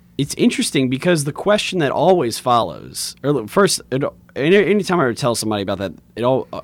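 On a very clean recording with a silent background, a man of medium pitch talks very fast with vocal fry and very wide pitch swings. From Louisiana, Lafayette (Cajun country). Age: 30s. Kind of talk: casual interview.

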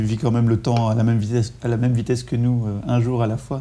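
A man's medium-pitched voice in a monotone, with flat intonation. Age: 30s. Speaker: podcast host. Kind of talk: interview. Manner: halting, many repetitions.

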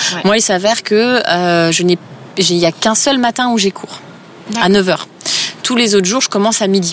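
The speaker keeps a moderate pace with ordinary pitch variation. Noticeable background noise is present. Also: woman. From eastern France (Épinal, Vosges). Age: 30s. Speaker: yoga teacher. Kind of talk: casual interview. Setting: outdoors, park bench.

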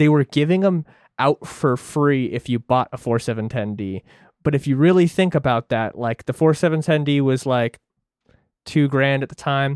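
Speaking in an unremarkable speaking voice, a man keeps a medium pitch, ordinary pitch variation, and a moderate pace. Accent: American. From central Washington. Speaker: podcast co-host, audio engineer. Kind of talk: casual chat.

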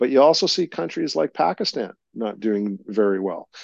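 A man with a Canadian accent, medium pitch, moderate pace, quiet background, and a dry, close sound with no echo. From Canada. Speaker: polling company executive. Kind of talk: interview. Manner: halting.

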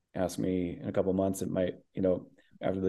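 An American accent marks this man's fairly low voice, dark and mellow in tone, recorded with a quiet background. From US Midwest. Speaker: actor and voice actor. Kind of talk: interview.

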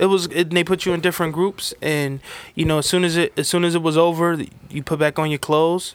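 Speaking at a fairly quick pace, a man with a New York accent has a high-pitched voice. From New York City, the Bronx. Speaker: sneaker reseller. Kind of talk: casual chat.

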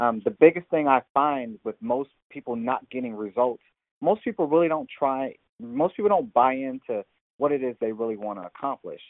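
A man speaks at a medium pitch with lively intonation. His pace is moderate. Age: 40s. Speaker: personal trainer. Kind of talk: casual interview.

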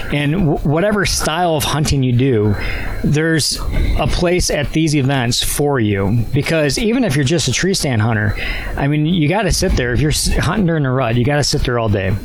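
Against noticeable background noise, a man with an Upper Midwest US accent talks at a moderate pace with a fairly high pitch, lively intonation and very even loudness. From Wisconsin. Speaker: archery event organizer. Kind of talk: casual interview. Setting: outdoors at archery club.

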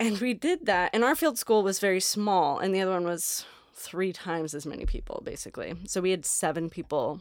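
With a plain, everyday voice, a woman speaks at a medium pitch in an American accent, with hardly any pauses. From southern Oregon. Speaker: archaeologist. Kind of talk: casual chat.

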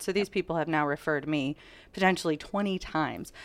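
The recording is very clean and the background silent. This woman's pitch is very deep and low. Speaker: realtor business coach. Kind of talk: interview.

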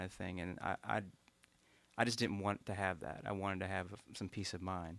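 With an Appalachian accent, a man speaks at a fairly low pitch and a fairly quick pace. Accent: Appalachian Kentucky. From eastern Kentucky, Morgan County. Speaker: musician and doctor. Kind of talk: interview on live radio show. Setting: radio performance studio with audience.

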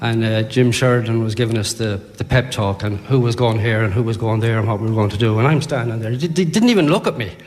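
A man with an Irish accent talks at a very fast pace, with ordinary pitch variation. Noticeable background noise runs under his speech. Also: medium pitch for a man. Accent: Irish (Sligo). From Ireland, Sligo. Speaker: sports author. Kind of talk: live interview at book launch. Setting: hotel ballroom with audience.

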